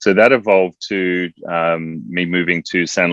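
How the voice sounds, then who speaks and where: Recorded with a dry, close sound and no echo, a man with an Australian accent speaks in a very deep, low pitch with fairly even intonation. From Australia, Adelaide. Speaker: entrepreneur, former Olympic athlete. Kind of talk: interview.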